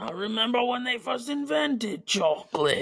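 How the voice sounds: A man's put-on character voice, pitched high.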